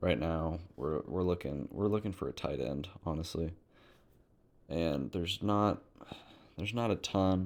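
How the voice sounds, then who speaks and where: The voice has vocal fry and lively intonation at a moderate pace. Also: man. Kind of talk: casual sports commentary to camera.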